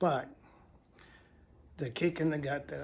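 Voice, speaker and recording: The man's voice is somewhat breathy, and his intonation is fairly even. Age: 60s. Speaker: retired vlogger. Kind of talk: casual vlog monologue. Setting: at home. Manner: halting, many fillers.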